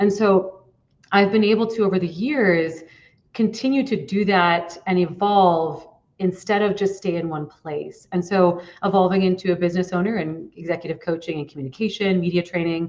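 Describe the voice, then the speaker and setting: Ordinary pitch variation in a woman's moderately paced speech. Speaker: executive coach and former news anchor. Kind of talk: interview.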